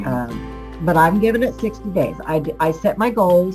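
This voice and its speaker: A woman speaks fairly slowly while music plays in the background. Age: 60s. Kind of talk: interview answer. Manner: casual, conversational.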